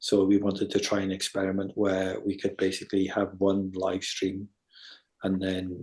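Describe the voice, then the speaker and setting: This man has a fairly low pitch and a dark, mellow tone, and he speaks at a moderate pace. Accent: English. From England. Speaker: electronic musician. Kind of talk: casual interview. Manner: hesitant, many fillers and repeats.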